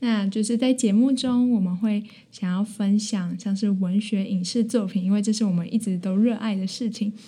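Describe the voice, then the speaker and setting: A somewhat breathy woman's voice with fairly even intonation and hardly any pauses. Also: medium pitch for a woman, moderate pace. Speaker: university student podcaster. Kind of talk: casual chat. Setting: small room in a library.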